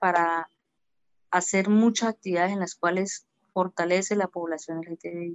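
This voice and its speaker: A woman speaks at a fairly slow pace with medium pitch. Her intonation is monotone and flat. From Colombia, Arauca (Saravena), rural. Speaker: LGBT community leader. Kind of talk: interview. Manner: halting, repeats words.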